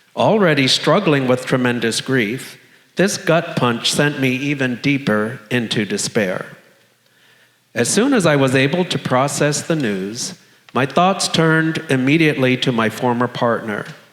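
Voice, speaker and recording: Lively intonation marks this man's unremarkable speaking voice, with an American accent and a medium pitch. He keeps a fairly slow pace and very even loudness. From South Florida. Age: 60s. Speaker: storyteller living with HIV. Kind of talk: personal testimony read on stage.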